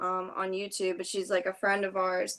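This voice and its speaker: In a New Jersey accent, a woman with a bright, sharp tone speaks at a moderate pace against a quiet background. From southern New Jersey, Ocean City. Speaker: YouTuber. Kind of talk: casual chat.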